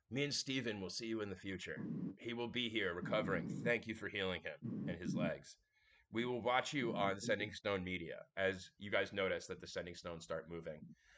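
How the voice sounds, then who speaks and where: Using a put-on character voice, a man speaks raspy and fairly low-pitched at a fairly quick pace. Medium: actual play. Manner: friendly, casual.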